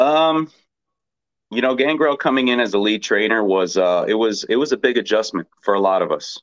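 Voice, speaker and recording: With an American accent, a man speaks in an ordinary speaking voice at a medium pitch and moderate pace, with ordinary pitch variation and very even loudness. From Texas. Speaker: professional wrestler. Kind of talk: casual interview.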